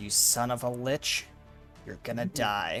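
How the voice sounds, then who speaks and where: A man growls in a put-on character voice with a menacing tone, in a medium pitch and at a fairly slow pace. Clear music plays in the background. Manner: snarling, menacing.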